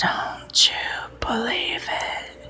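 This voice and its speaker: The speaker uses a put-on character voice. It comes out raspy. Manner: sinister.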